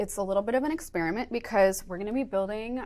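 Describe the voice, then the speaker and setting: Speaking at a very fast pace, a woman with an American accent holds a medium pitch. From upstate New York. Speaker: software engineer teaching a workshop; workshop instructor. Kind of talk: workshop lecture. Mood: friendly, enthusiastic. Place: studio.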